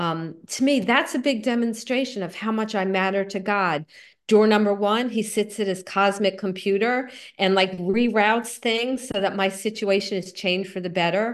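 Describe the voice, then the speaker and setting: A woman speaks at a moderate pace in a medium pitch. Her pitch varies in an ordinary way over a quiet background. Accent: New Jersey. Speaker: recovery group speaker. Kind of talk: talk.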